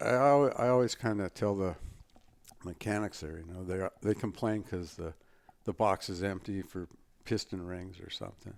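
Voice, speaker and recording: A man's fairly low voice with a Californian accent, ordinary pitch variation and a moderate pace. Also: big swings in loudness. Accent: Californian American English. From Southern California (Torrance). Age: 60s. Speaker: motocross race shop manager. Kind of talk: casual interview chat. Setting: studio.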